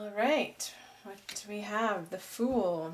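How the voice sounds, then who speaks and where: A woman speaks very slowly in a calm tone. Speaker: tarot reader. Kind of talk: tarot reading. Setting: on camera.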